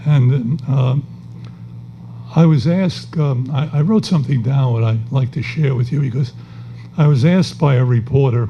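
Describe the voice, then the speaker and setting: A man at medium pitch and moderate pace, with ordinary pitch variation and long, frequent pauses, amid audible room echo and noticeable background noise. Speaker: retired judge and former politician. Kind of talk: on-stage interview at an awards event. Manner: halting.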